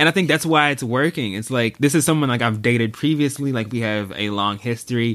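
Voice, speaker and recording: A man's ordinary speaking voice with an American accent, medium in pitch with ordinary variation, fairly quick and with hardly any pauses. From Texas (Dallas). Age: 20s. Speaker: social media strategist. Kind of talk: casual chat.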